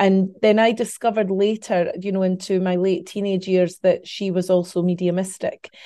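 Against a quiet background, a woman with a Scottish accent speaks in a dark, mellow tone with monotone, flat intonation. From Scotland. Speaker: psychic medium. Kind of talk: interview conversation.

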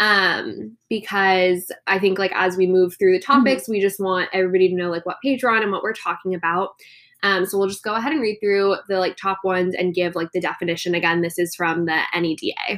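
A woman with an American accent speaks with hardly any pauses, in a normal speaking voice. Her pitch is medium and her intonation fairly even. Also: fairly quick pace. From Coronado, California. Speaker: podcast co-host. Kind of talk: casual chat.

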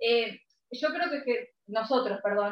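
Moderate pace and ordinary pitch variation, in an Argentine accent. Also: woman. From Argentina. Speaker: music podcaster. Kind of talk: casual chat.

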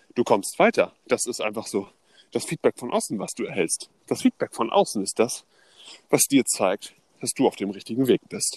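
Long, frequent pauses break up a man's speech, which runs at a moderate pace. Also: dry, close sound with no echo. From northern Germany (Neubrandenburg, Mecklenburg). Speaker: podcast co-host. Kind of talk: casual storytelling chat.

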